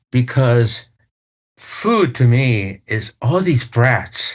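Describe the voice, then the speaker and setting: A man's medium-pitched, somewhat breathy voice with a Chinese accent and lively intonation, over a quiet background. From Taiwan. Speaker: news executive. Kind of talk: interview.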